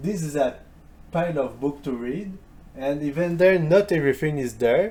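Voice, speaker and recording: With a French accent, a man talks at a fairly slow pace in a dark, mellow voice of fairly high pitch. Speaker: history youtuber. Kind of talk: video commentary reply. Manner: halting, with fillers.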